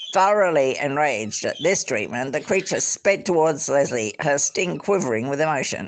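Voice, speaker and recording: This voice moves at a moderate pace. It carries an Australian accent. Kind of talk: book reading aloud.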